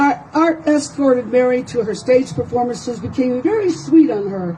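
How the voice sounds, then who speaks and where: A woman at a moderate pace, high in pitch, with very wide pitch swings, over noticeable background noise. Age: 70s. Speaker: paralegal private investigator. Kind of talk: reading own story aloud. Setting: outdoors.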